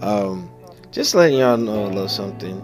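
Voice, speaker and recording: With clear music in the background, a man speaks at fairly low pitch. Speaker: motovlogger. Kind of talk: casual vlog chat. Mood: reflective, candid. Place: motorbike.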